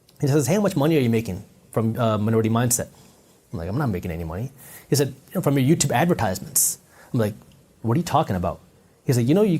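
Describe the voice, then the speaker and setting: A somewhat breathy male voice, dark and mellow in tone, with very wide pitch swings. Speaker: entrepreneur and finance content creator. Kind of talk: interview conversation. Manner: animated storytelling.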